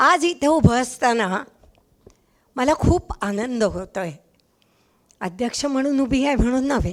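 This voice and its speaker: A woman speaks loudly in a high pitch. Her intonation is lively. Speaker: writer and teacher, chief guest presiding at a book launch. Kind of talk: formal speech. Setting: stage with audience. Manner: speaking loudly to be heard.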